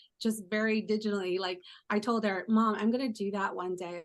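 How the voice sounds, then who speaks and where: With an American accent, a woman has an ordinary speaking voice at medium pitch, speaking at a moderate pace with fairly even intonation. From California. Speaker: travel journalist. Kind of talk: panel discussion answer. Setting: virtual event call. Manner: earnest, conversational.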